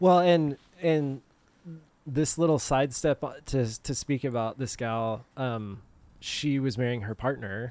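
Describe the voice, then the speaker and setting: A man speaks in a normal speaking voice at a medium pitch. His pace is fairly slow and his pitch variation ordinary. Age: 30s. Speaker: podcast guest. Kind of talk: casual chat. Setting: outdoors.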